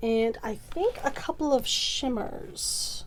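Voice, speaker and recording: At a very slow pace, a woman speaks over noticeable background noise. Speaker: makeup artist youtuber. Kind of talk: casual vlog rant. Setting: at home. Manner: stumbling over words.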